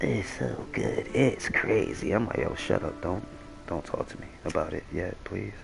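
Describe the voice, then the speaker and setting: A man mumbles at a moderate pace against noticeable background noise. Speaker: gaming streamer. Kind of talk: casual chat. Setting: live stream. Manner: mumbling; casual slangy.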